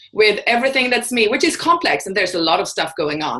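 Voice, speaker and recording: Pitch swings very widely in a bright, sharp tone delivered with a Swedish accent. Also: woman. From Sweden. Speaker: vulnerability and courage coach. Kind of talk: interview. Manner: halting, many fillers and restarts.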